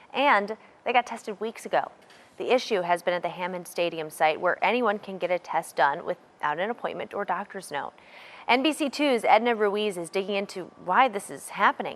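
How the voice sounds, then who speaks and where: A woman with an American accent uses an ordinary speaking voice at medium pitch, moving at a fairly quick pace with lively intonation. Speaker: news anchor. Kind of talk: television news anchor delivery.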